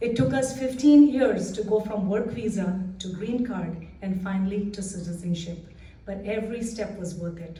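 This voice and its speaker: A woman is heard over noticeable background noise, with audible echo from the room. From India. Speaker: assistant principal. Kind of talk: prepared speech. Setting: library community event with audience.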